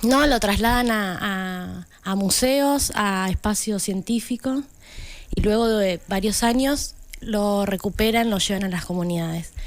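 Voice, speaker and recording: At a fairly slow pace, a woman uses an ordinary speaking voice, medium in pitch with ordinary pitch variation. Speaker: community radio contributor. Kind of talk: casual chat.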